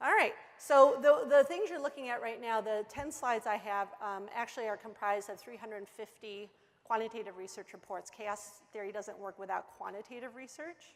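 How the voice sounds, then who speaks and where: A woman talks in a fairly high pitch with ordinary pitch variation. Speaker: food trend consultant. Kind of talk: conference presentation. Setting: conference stage with audience. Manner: fast.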